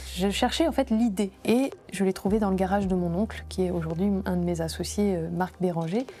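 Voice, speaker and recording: At a moderate pace and very even loudness, a woman speaks over noticeable background noise. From France, Grenoble area. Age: 30s. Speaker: entrepreneur. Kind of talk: interview testimony.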